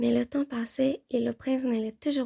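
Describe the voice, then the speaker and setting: A woman speaks at a moderate pace in a high voice with a dark, mellow tone. The sound is dry and close, with no echo. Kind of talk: ASMR audiobook reading.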